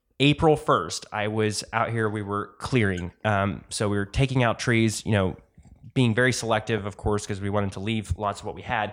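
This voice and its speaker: At a moderate pace and fairly low pitch, a man talks in a normal speaking voice with fairly even intonation on a very clean recording with a silent background. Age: 20s. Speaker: Airbnb host and property designer. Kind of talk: casual interview.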